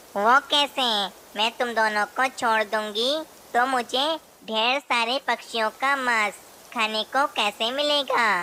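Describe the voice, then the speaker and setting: A woman uses a cartoonish character voice pitched high. Her intonation is fairly even and her loudness very even. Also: fairly slow pace. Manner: menacing.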